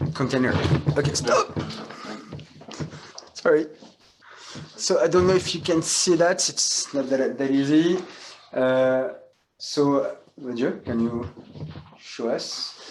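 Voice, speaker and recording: A man with a French accent, fairly high-pitched, speaking at a very slow pace with long, frequent pauses, ordinary pitch variation and noticeable background noise. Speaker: hotel school general manager. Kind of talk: guided tour. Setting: hotel room.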